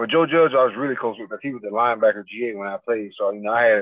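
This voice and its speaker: Speaking with an American accent, a man rattles along at a very fast pace. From Florida (Fort Pierce). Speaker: football coach, former NFL player. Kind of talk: interview.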